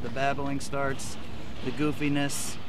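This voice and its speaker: Noticeable background noise sits behind a man whose voice sounds dry, with no echo. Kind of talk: casual vlog chat. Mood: joking, griping. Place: boat. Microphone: phone near.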